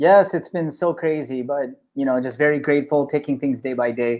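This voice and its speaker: A man with an American accent, a normal speaking voice at a fairly high pitch, ordinary pitch variation, a moderate pace, and a quiet background. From Los Angeles, US. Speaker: app founder. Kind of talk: live interview.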